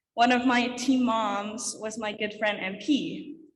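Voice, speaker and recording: Audible room echo surrounds a woman's somewhat breathy voice, which sits at a fairly high pitch. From Quebec, Canada. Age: 20s. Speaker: alpine ski racer. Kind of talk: conference talk.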